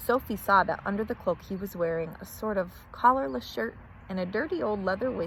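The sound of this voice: Unforced reading aloud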